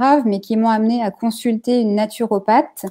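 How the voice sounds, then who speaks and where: This woman has a fairly high pitch and a dark, mellow tone. Her intonation stays monotone and flat at a moderate pace. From Normandy, France. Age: 40s. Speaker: naturopath. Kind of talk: interview on a live stream. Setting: online live video. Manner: hesitant, many fillers.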